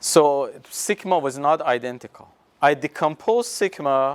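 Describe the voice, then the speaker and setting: This man has a non-native accent and a fairly high pitch with lively intonation. His very slow speech has a dry, close sound with no echo. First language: not English. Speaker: university professor. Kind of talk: lecture. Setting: classroom with students. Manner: halting, with many fillers.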